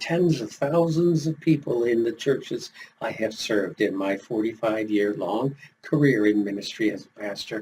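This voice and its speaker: A man talks at a moderate pace with ordinary pitch variation and a somewhat breathy voice. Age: 70s. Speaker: retired pastor and life coach YouTuber. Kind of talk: motivational talk to camera.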